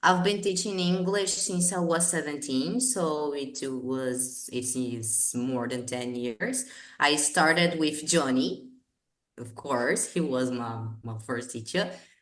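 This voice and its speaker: A woman's very deep, low voice with lively intonation and a very slow pace, in audible room echo. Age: 20s. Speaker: English teacher. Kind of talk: casual chat.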